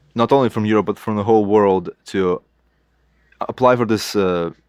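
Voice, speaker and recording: With a Lithuanian accent, the speaker talks at a moderate pace and with fairly even intonation, the sound dry and close with no echo over a quiet background. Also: man. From Lithuania, Kaunas. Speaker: illustrator. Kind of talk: interview. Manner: halting.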